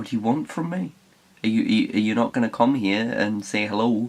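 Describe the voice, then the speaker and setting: A man speaks with a Geordie accent over noticeable background noise. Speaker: writer. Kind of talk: casual talk to camera.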